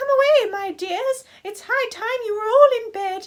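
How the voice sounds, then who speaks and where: This female-sounding, squeaky put-on character voice sits at an extremely high pitch for a woman and moves at a moderate pace. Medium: read story. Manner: trembling.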